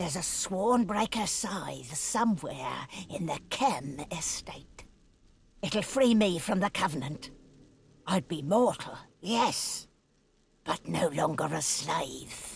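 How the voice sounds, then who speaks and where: A put-on character voice at a middle pitch moves at a fairly slow pace, broken by long, frequent pauses. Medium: video game. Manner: bitter, cold and scheming.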